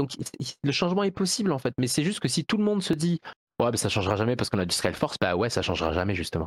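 A man with vocal fry races along at a very fast pace, making very wide pitch swings at a very even loudness, in a dry, close sound with no echo. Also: medium pitch for a man. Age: 20s. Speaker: video game producer and programmer. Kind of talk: casual chat. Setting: live stream.

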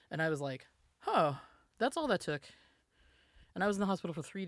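This very clean recording has a silent background. A woman speaks in a fairly low pitch with an American accent. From US South. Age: 40s. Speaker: musician and data scientist. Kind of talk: casual interview.

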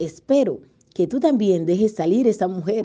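A woman with a Dominican accent speaks at a fairly slow pace in a dark, mellow tone, her medium pitch making very wide swings. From Dominican Republic. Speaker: journalist and broadcaster. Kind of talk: interview.

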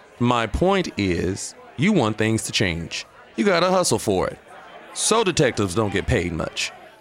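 Over noticeable background noise, a man talks at a fairly slow pace. His pitch swings very widely. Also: medium pitch for a man. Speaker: bartender character. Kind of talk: scripted comedic dialogue.

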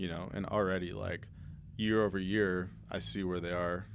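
A man's very deep, low voice with vocal fry and lively intonation, in audible room echo. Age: 20s. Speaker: music producer. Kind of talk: casual chat.

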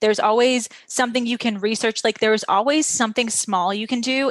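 A normal speaking voice from a woman, fairly high in pitch with ordinary variation, at a moderate pace, with a dry, close sound and no echo. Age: 30s. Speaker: podcast host. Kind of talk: interview. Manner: casual.

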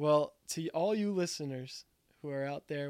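Speaking at a fairly slow pace, a man with an unremarkable speaking voice talks at a fairly high pitch. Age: 20s. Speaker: podcast host. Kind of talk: casual chat.

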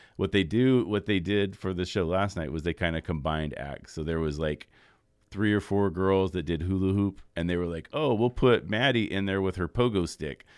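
A man's very deep, low voice comes through at a moderate pace. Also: ordinary pitch variation. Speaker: radio host. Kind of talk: casual chat. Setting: studio.

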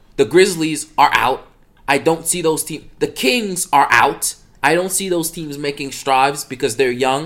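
At a fairly slow pace, a man with a fairly high pitch and ordinary pitch variation uses an unremarkable speaking voice. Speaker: guest Lakers fan, cameo. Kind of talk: casual opinion. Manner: earnest, repeats himself.

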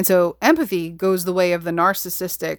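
A woman with a fairly low pitch talks at a fairly quick pace. The recording is very clean, with a silent background. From New York. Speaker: podcast host and psychotherapist. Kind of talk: solo podcast monologue. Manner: passionate, intense.

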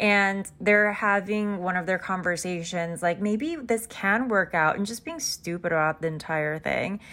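At a fairly slow pace with hardly any pauses, a woman with a medium pitch and ordinary pitch variation speaks in a bright, sharp tone on a very clean recording with a silent background. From South Korea. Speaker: book podcast host. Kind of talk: casual book recap monologue. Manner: casual, filler-heavy.

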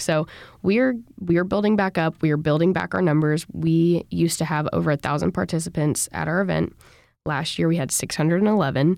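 A woman with a fairly low pitch speaks at a fairly quick pace. She has lively intonation and a normal speaking voice. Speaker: student organization president. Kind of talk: casual interview.

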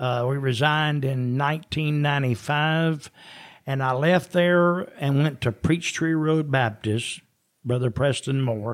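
On a very clean recording with a silent background, a man with a Southern US accent speaks fairly slowly at a fairly high pitch, with ordinary pitch variation. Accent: Southern US (Georgia). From US South, Georgia. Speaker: retired founding pastor. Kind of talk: casual interview, personal testimony.

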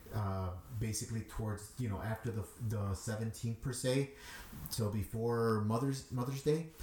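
A man with a Chicago accent at a moderate pace, fairly even intonation, and noticeable background noise. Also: medium pitch for a man. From Chicago, Little Village. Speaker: DJ. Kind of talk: interview.

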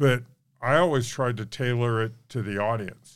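A man with a medium-pitched voice talks in an American accent with fairly even intonation on a very clean recording with a silent background. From Reno, Nevada. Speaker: historical reenactor and local historian. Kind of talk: interview.

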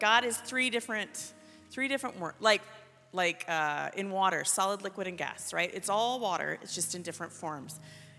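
A woman's voice rises and falls in very wide pitch swings, with music playing in the background. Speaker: prayer minister. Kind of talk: guided prayer. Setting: church youth service. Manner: leads call-and-response.

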